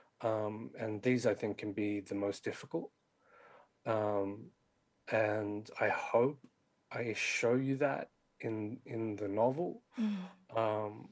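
Speaking with an Australian accent, a man of medium pitch moves at a very slow pace with ordinary pitch variation and long, frequent pauses. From Australia, western Sydney. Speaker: poet and novelist. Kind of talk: interview.

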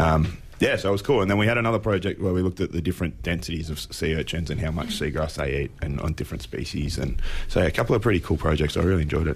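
A man's very fast, nearly pauseless speech in an Australian accent, very deep and low in pitch, with lively intonation and noticeable background noise. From Apollo Bay, Victoria, Australia. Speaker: marine scientist. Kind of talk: casual interview.

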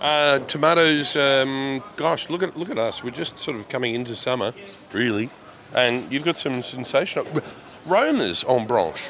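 At a moderate pace, a man talks in a medium pitch with lively intonation over noticeable background noise. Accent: Australian. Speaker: radio host. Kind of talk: casual chat. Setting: studio. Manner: animated.

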